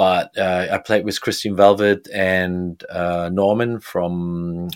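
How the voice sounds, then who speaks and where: On a very clean recording with a silent background, a man speaks very slowly at a fairly low pitch with fairly even intonation. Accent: German. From Germany, Bremen. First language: German. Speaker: DJ and music producer. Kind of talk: interview. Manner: halting.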